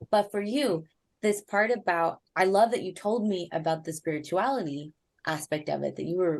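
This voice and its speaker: At a moderate pace, a woman with a fairly low pitch and ordinary pitch variation speaks in a plain, everyday voice. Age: 30s. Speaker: astrologer. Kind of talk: astrology reading.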